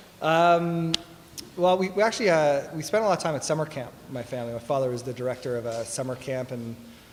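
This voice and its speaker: Audible room echo surrounds a man with a Canadian accent who talks at a fairly quick pace with ordinary pitch variation. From Toronto, Canada. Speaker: tech company executive. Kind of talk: fireside chat interview. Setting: stage with audience.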